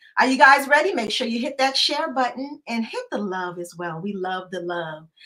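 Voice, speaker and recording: Very wide pitch swings and big swings in loudness at a moderate pace. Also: woman, high pitch for a woman. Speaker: show host. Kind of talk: live talk show hosting and interview questions.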